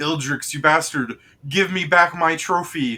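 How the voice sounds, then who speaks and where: A man puts on a character voice, fairly high in pitch and delivered at a moderate pace. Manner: angry, yelling.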